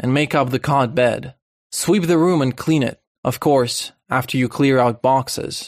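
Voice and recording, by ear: Against a quiet background, the text is read aloud in a natural voice, its pitch rising and falling in an ordinary way.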